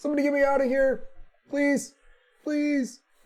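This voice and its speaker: A put-on character voice comes through at a high pitch. It runs in a flat monotone at a moderate pace. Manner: pleading.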